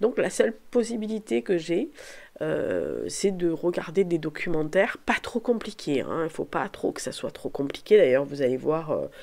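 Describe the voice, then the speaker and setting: On a very clean recording with a silent background, a woman uses lively intonation, her fairly low voice dark and mellow. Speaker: booktuber and novelist. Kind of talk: casual vlog monologue. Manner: halting, many fillers and repetitions.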